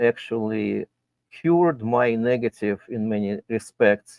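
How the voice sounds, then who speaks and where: A dry, close sound with no echo, in a Russian accent. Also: man. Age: 60s. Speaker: guest commentator. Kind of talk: casual chat.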